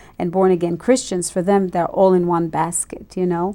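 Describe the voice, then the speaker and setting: A woman speaks with an Israeli accent. Her tone is dark and mellow. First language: Hebrew. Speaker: ministry leader. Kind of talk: interview.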